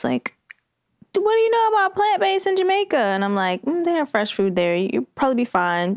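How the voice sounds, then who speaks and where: A woman at a fairly quick pace, with a dry, close sound and no echo. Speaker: health and life coach. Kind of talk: casual chat.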